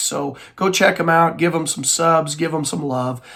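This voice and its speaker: Noticeable background noise sits under the voice. The words come at a fairly slow speed. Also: man. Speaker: middle school teacher and book vlogger. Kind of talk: casual vlog monologue. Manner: hesitant, many fillers.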